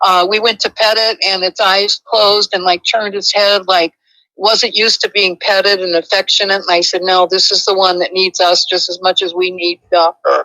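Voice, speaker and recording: A woman speaks in a bright, sharp tone at a moderate pace with hardly any pauses. Her intonation is monotone and flat, and the sound is dry and close with no echo. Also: medium pitch for a woman. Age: 70s. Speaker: caller. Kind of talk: phone-in conversation. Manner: halting.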